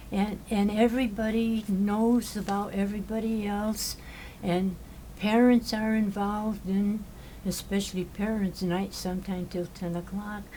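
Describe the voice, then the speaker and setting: Her voice somewhat breathy with a dark, mellow tone, a woman speaks at a medium pitch. She talks at a fairly slow pace with monotone, flat intonation. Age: 80s+. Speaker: retired teacher and nun. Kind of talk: interview answer.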